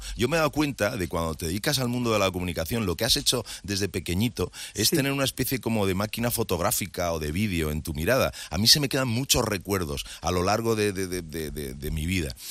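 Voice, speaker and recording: With lively intonation and hardly any pauses, a man speaks in an unremarkable speaking voice at fairly low pitch, on a very clean recording with a silent background. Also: fairly quick pace. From Madrid, Spain. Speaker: TV presenter. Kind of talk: casual interview chat.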